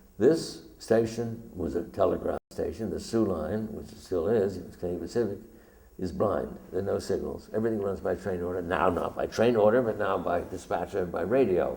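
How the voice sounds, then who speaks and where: Fairly low male voice at a moderate pace, ordinary pitch variation, with audible room echo. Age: 70s. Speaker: documentary photographer. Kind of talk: illustrated lecture. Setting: stage with audience.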